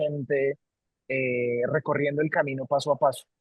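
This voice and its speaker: A man speaks with a Colombian accent at a moderate pace, his delivery monotone, flat and somewhat breathy. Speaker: company CEO. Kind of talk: interview. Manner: halting, many repetitions.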